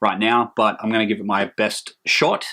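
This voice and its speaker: On a very clean recording with a silent background, a man speaks in a fairly low pitch with a bright, sharp tone. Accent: Australian. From Australia, Hunter region of New South Wales. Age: 30s. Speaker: metal music vlogger. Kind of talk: casual vlog monologue. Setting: hot room at home. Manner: hesitant, many filler ums.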